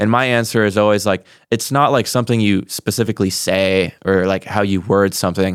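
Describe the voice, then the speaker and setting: An unremarkable speaking voice, a man's fairly low pitch comes at a fairly quick pace with very even loudness and fairly even intonation, on a very clean recording with a silent background. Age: 20s. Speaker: podcast host. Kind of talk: casual interview chat.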